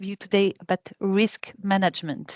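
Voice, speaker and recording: A woman speaks with a French accent. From France. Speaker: health and safety manager, trainer. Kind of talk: online training session. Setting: video call. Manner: fast.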